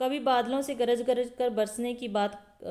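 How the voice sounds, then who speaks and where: This woman's voice sits at a high pitch with a dark, mellow tone. Her intonation stays monotone and flat. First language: Punjabi (speaking Hindi). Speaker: school teacher, online exam-prep tutor. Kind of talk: lecture. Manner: explanatory, repeats key points; hesitations with filler 'अ'.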